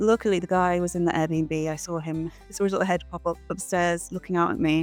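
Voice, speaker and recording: A woman with a British accent, fairly low pitch and ordinary pitch variation, music in the background. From England. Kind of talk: casual travel vlog narration.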